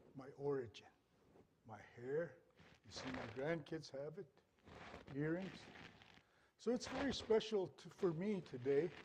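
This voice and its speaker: A man with a fairly high, somewhat breathy voice uses lively intonation. His loudness swings widely, and he takes long, frequent pauses. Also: fairly slow pace. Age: 60s. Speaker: dancer and elder. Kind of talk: stage talk.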